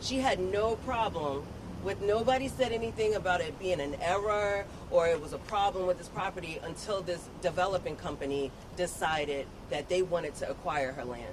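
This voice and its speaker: Speech at a moderate pace, with noticeable background noise underneath. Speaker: family member of landowner. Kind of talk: press conference answer.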